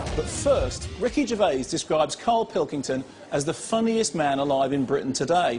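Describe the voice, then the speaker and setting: Over music in the background, a man speaks at a moderate pace in a fairly high pitch. His pitch swings very widely. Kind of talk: TV arts programme presenter narration.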